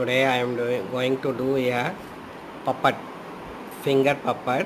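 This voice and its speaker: Loud background noise accompanies speech delivered at a fairly slow pace. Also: man. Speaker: craft teacher. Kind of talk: tutorial. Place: home room. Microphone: phone near.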